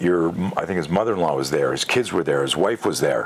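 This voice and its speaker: A man speaks over noticeable background noise. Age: 60s. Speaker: self-defense instructor. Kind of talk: interview. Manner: animated.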